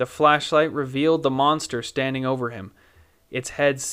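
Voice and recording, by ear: Fairly even intonation from someone reading aloud in a natural voice.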